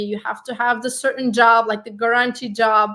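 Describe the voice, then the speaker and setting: A woman speaks with a Turkish accent. Her tone is bright and sharp. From Turkey. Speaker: life coach and digital marketing consultant. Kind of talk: interview.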